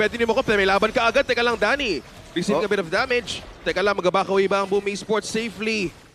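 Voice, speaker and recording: Over noticeable background noise, a man talks at a very fast pace with a high pitch. His pitch variation is ordinary and his loudness very even. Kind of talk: esports live commentary. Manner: excitable, quick play-by-play with banter.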